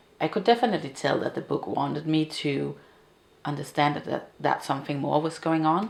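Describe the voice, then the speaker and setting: A woman's fairly low voice with a Danish accent. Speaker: book video creator. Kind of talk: casual chat. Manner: halting.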